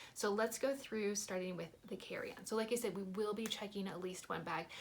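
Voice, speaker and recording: Noticeable background noise sits behind a woman talking at a fairly quick pace in an animated tone and medium pitch. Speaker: family travel vlogger. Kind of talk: casual vlog talk to camera. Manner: fast.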